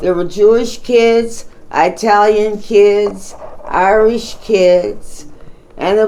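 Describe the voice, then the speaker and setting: In a room with audible echo, a woman speaks at a medium pitch and a very slow pace. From Pittsburgh, Pennsylvania, US. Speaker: grandmother telling her life story. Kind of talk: oral history interview.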